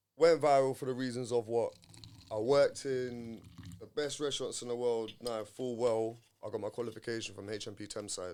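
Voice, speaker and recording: At a fairly quick pace, a man with a London accent speaks at medium pitch in a dark, mellow tone, his intonation fairly even but his loudness swinging widely. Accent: London multicultural English. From North London. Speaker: chef. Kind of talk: casual chat.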